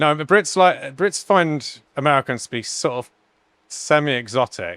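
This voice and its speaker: Bright, sharp tone from a man with an English accent, fairly high in pitch with ordinary variation, moderate in pace, the sound dry and close with no echo. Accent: generic English. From England. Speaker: podcast host, bartender. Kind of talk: casual interview conversation.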